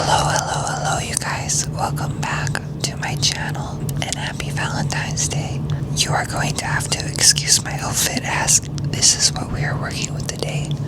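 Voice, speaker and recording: Someone is whispering at a moderate pace over noticeable background noise. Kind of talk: whispered rambling talk to camera, casual personal monologue. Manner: whispered, soft, rambling.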